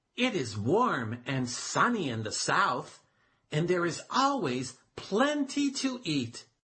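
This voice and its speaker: A man performs a put-on character voice at a high pitch. His pitch swings very widely. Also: fairly slow pace. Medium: read story. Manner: earnest, cautioning.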